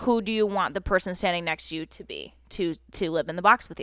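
This woman has an ordinary speaking voice at a medium pitch. The sound is dry and close with no echo, and the background is quiet. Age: 20s. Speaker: acting coach. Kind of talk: casual chat.

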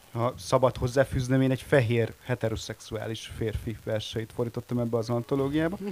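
Here a man has an unremarkable speaking voice at a medium pitch, with fairly even intonation. He talks at a fairly quick pace with hardly any pauses. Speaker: editor-in-chief, publisher. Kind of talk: panel discussion. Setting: stage with audience.

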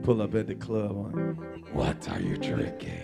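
With loud music playing behind him, a man does a put-on character voice at a fairly low pitch and a moderate pace. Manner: smooth, flirty.

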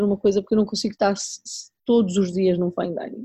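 The delivery is monotone and flat in intonation, and somewhat breathy. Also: woman. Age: 40s. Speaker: chef and restaurant owner. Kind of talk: interview conversation.

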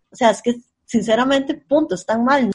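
Somewhat breathy and fairly high in pitch, a woman talks at a moderate pace with ordinary pitch variation. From Costa Rica, central San José. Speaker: podcast co-host. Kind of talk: casual chat.

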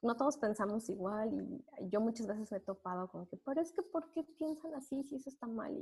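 A woman speaks with a fairly high pitch. She leaves hardly any pauses. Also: lively intonation, fairly quick pace. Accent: central Mexican. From Mexico, Puebla. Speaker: accountant. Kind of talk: interview.

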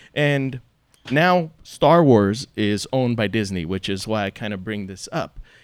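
An ordinary speaking voice belongs to a man talking at a moderate pace with lively intonation. The recording is very clean, with a silent background. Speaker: radio host. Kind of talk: casual interview. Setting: stage with audience.

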